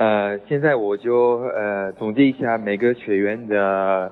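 Very slow, fairly even speech from a man with a fairly low pitch. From France. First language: French (speaking Chinese). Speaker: French teacher. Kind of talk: lecture. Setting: group chat voice message. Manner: halting.

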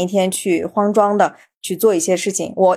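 A woman with an unremarkable speaking voice talks at a medium pitch and a moderate pace. The recording is very clean, with a silent background. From Xinjiang, China. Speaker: podcast host. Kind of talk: casual interview chat.

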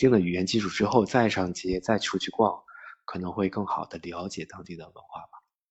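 A very fast, very deep, low man's voice with fairly even intonation and big swings in loudness. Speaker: traveler. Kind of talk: casual chat.

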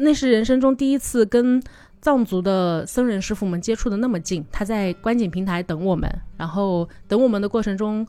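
A woman's fairly high-pitched voice with a dark, mellow tone, ordinary pitch variation and a moderate pace, on a very clean recording with a silent background. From China, Changsha (Hunan). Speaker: tour leader and travel product planner. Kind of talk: casual chat.

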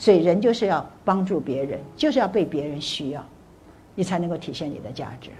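Talking at a fairly quick pace, a woman with a fairly low pitch sounds somewhat breathy, with lively intonation, big swings in loudness and audible room echo. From Taiwan. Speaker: motivational speaker. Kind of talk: lecture. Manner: animated.

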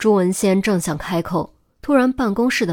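Quiet background throughout. The speaker uses an unforced reading voice.

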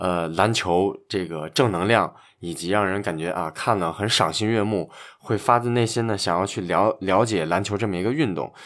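Recorded very cleanly against a silent background, a man with an unremarkable speaking voice talks at a moderate pace, his pitch fairly low with ordinary variation. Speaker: basketball podcast host. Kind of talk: casual chat.

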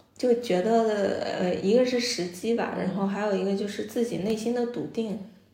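A woman speaks at a medium pitch and a fairly slow pace. Her intonation is fairly even, and room echo can be heard. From Jiangsu, China. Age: 30s. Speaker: restaurant owner. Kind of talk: interview conversation. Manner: many filler sounds and hesitations.

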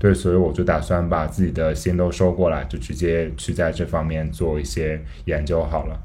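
With audible room echo, a man with a very deep, low pitch and a dark, mellow tone speaks at a moderate pace using vocal fry, ordinary pitch variation and hardly any pauses. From Gansu, northwest China. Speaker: podcast host, illustration graduate student. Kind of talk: casual interview chat.

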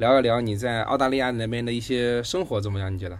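With audible room echo, a man talks at a very fast pace in a medium pitch and fairly even intonation. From Hangzhou, China. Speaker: podcast host. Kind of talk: casual interview chat.

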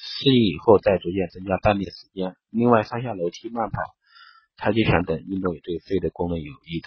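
Somewhat breathy and fairly low-pitched, this man talks at a fairly quick pace. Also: ordinary pitch variation, big swings in loudness. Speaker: beauty and wellness podcast host. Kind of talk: health tips talk. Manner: halting with fillers. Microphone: phone recording.

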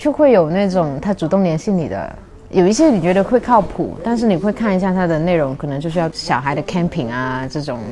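A woman with a slight Cantonese accent, fairly low pitch and lively intonation, talking at a fairly quick pace with hardly any pauses over noticeable background noise. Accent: slight Cantonese accent in Mandarin. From Shunde, Guangdong, southern China. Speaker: former neuroscience and language researcher, traveller. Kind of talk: casual interview chat.

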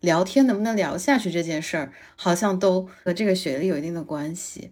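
A woman with an unremarkable speaking voice, lively intonation and a fairly quick pace. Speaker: podcast co-host. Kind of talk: casual chat.

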